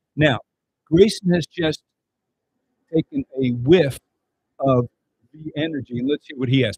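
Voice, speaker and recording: In a dry, close sound with no echo, a somewhat breathy man at a fairly high pitch speaks at a moderate pace, with long, frequent pauses and big swings in loudness. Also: ordinary pitch variation. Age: 70s. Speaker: product presenter. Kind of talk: sales pitch.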